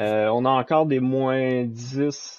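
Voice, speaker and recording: Fairly even intonation runs through speech with a Quebec accent. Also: man. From Quebec, Saint-Jérôme. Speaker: software developer. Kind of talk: casual chat.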